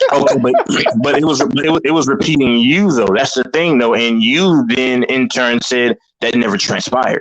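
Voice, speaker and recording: Speaking at a medium pitch, a man keeps his loudness very even while his pitch varies in an ordinary way. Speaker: panel member on sports debate stream. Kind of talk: heated debate. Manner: fast; repetitive, stumbling.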